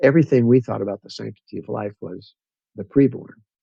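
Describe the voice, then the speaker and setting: In a dark, mellow tone and a fairly low pitch, a man with an American accent speaks at a fairly quick pace, the sound dry and close with no echo. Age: 70s. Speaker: retired pastor and rancher. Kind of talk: casual interview conversation.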